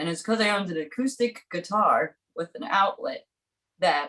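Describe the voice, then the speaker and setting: A woman speaks in an American accent with an ordinary speaking voice. Her intonation is lively and her pace moderate. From Brooklyn, New York. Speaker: musician. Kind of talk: casual interview chat. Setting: studio.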